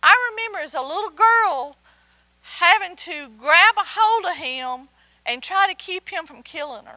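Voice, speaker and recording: A woman projects a raised voice at an extremely high pitch, bright and sharp in tone. Her intonation is lively and her loudness swings widely. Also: fairly slow pace. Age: 60s. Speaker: Bible teacher. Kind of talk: sermon.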